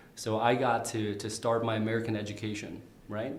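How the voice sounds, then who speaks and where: A man speaks in a medium pitch. Noticeable background noise and audible room echo surround him. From Minnesota (Saint Cloud), arrived from Vietnam as child. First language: Vietnamese. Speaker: candidate for county attorney. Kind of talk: interview. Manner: frequent fillers and repetitions.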